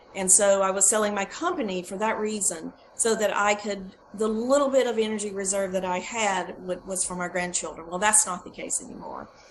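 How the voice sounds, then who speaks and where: Fairly even intonation with noticeable background noise. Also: woman, medium pitch for a woman, fairly quick pace, hardly any pauses. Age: 60s. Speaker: product testimonial giver. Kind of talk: testimony. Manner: halting.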